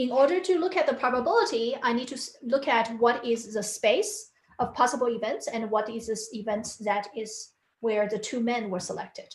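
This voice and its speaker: A woman speaks with high pitch and ordinary pitch variation. Room echo is audible. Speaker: teaching assistant leading recitation. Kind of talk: lecture. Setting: live online class. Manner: fast.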